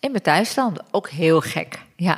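Background noise is noticeable. The speaker is a woman. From Turkey. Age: 40s. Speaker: mother sharing her birth story. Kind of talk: testimony.

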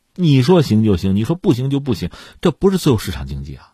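Talking at a fairly quick pace, a man with a dark, mellow, somewhat breathy voice swings his pitch very widely in a very clean recording with a silent background and a dry, close sound with no echo. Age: middle-aged. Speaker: news commentator. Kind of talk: news commentary monologue. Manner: animated.

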